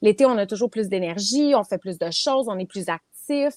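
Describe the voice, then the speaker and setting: Moderate pace and lively intonation in a dry, close sound with no echo. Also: woman. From Quebec. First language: English (speaking French). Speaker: property management business owner. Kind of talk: interview.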